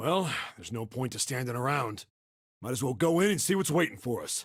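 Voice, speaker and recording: A put-on character voice from a man, raspy and medium-pitched, fairly quick, with lively intonation. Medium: video game. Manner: gruff, blunt.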